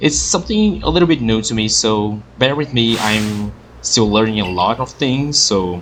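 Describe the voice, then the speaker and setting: A man speaks with a non-native accent in a fairly low voice. His pitch varies in an ordinary way. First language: not English. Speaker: gaming youtuber. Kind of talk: let's play commentary. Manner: halting.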